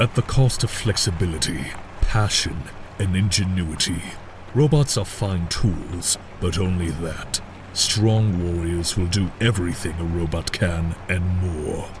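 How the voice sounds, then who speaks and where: A man puts on a character voice with a very deep, low pitch. He speaks at a fairly slow pace over clear background noise. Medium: audio drama. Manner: commanding, grandiose.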